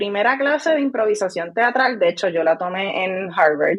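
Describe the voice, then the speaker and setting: A woman's plain, everyday voice with lively intonation. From Puerto Rico, rural Vega Alta. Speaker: scientist and science communicator. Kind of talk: podcast interview.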